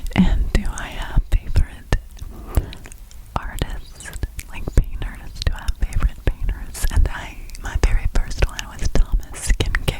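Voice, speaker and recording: Whispering, a woman goes at a fairly slow pace with big swings in loudness. Background noise is noticeable. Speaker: ASMR creator. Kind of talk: ASMR question and answer, talking to camera. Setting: close microphone. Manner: soft-spoken, whispery, repetitive phrasing.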